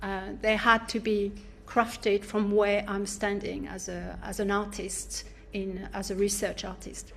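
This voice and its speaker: A woman's medium-pitched voice in a French accent, fairly slow, with big swings in loudness. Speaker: academic researcher and artist. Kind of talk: academic seminar talk. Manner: halting, many fillers.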